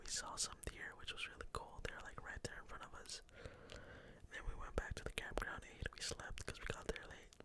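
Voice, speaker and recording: Noticeable background noise behind a whispering man. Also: moderate pace, hardly any pauses. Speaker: ASMR content creator. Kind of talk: casual whisper ramble to camera. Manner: whispered.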